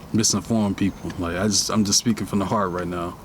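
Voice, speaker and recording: There is noticeable background noise. A man talks with fairly even intonation. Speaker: podcast host. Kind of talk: casual monologue podcast. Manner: halting, repeats words.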